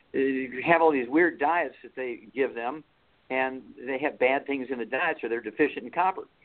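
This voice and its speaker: A plain, everyday voice from a man with an American accent, fairly high in pitch, with ordinary pitch variation. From Missouri. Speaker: veterinarian and author. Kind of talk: interview.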